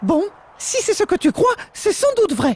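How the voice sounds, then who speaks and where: Someone uses a put-on character voice at an extremely high pitch, speaking at a moderate pace. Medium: short film. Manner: earnest.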